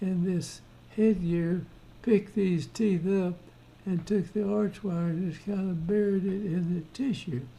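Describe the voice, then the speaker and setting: Speaking at a fairly slow pace, this voice has a dark, mellow tone and fairly even intonation. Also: man. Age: 80s+. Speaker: orthodontist. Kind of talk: lecture on a dental case. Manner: casual, conversational.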